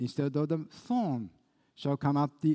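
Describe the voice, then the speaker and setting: A man's fairly high voice, dark and mellow in tone, at a fairly slow pace. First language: Japanese. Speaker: pastor. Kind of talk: sermon. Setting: church.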